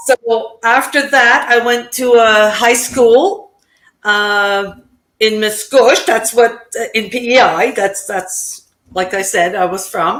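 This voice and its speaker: At a very slow pace, a woman with a French accent speaks at a fairly high pitch with ordinary pitch variation. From Prince Edward Island, Canada (Acadian French). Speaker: digital business owner. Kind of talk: interview.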